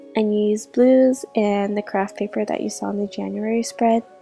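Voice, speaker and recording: With music in the background, a woman speaks at a moderate pace in a fairly high, flat monotone. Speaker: bullet journaling YouTuber. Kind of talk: casual talk to camera.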